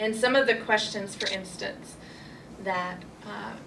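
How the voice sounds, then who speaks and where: Noticeable background noise and audible room echo surround a woman speaking at a moderate pace in a medium-pitched voice. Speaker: human rights lawyer. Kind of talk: panel presentation. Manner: loud.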